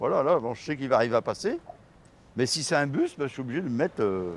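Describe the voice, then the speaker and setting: A man at a very fast pace with lively intonation and long, frequent pauses. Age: 60s. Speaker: wheelchair user, local resident. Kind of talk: casual chat. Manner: halting.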